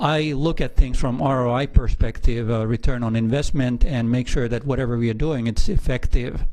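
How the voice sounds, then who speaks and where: A man speaks in a strong Finnish accent at a moderate pace and medium pitch. His tone is dark and mellow, with ordinary pitch variation. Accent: heavy Finnish. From northern Finland. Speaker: aquarium general manager. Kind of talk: interview. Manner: hesitant, many filler uhs.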